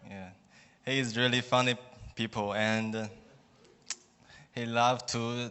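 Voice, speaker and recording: A man speaks with a Chinese accent at a medium pitch. His intonation is flat and monotone. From China. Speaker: student. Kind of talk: testimony. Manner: halting.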